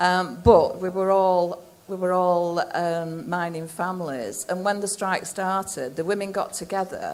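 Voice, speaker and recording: A woman with a South Yorkshire accent, medium in pitch, at a fairly slow pace, with fairly even intonation and hardly any pauses. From South Yorkshire, England. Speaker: miner's wife and strike activist. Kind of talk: public talk. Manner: halting.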